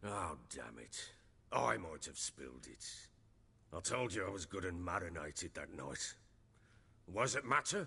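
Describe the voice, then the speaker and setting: In a put-on character voice, a man sounds raspy and very deep and low in pitch, using very wide pitch swings at a moderate pace with long, frequent pauses. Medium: video game. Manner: gruff, defensive.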